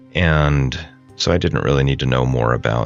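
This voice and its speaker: Over music in the background, a man with a very deep, low pitch talks at a moderate pace. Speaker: podcast host and solo tabletop game master. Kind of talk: casual explanatory talk about a solo role-playing campaign.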